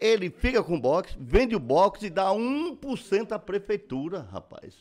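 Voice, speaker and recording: Recorded very cleanly with a silent background, a man speaks at a high pitch. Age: 70s. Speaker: businessman and former politician. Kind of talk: casual chat.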